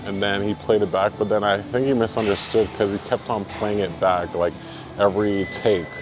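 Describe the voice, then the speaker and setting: With noticeable background noise behind him, a man speaks at a moderate pace with a fairly low pitch and fairly even intonation. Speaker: vlogger and amateur rapper. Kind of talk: casual vlog storytelling. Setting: gym. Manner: monotone.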